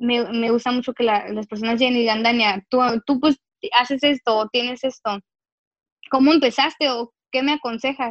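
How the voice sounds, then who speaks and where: At a moderate pace, a woman speaks high-pitched with fairly even intonation, recorded dry and close with no echo. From Mexicali, northwestern Mexico. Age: 20s. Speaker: writer and motivational speaker. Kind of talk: casual interview chat. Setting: at home in her bedroom.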